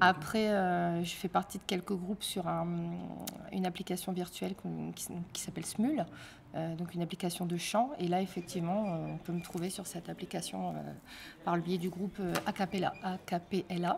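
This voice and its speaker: A woman talks at a moderate pace in a fairly low pitch with vocal fry. Her intonation stays monotone and flat. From northern France, Amiens (Somme). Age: 30s. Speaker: singer. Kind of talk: interview. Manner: hesitant, many fillers.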